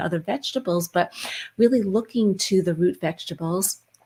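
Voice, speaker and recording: This woman's voice sits at a medium pitch and is somewhat breathy. She talks at a moderate pace with ordinary pitch variation. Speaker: wellness talk show co-host. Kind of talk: casual chat. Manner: animated.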